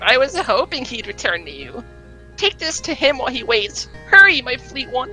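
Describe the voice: A high-pitched, put-on character voice over clear music in the background. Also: moderate pace.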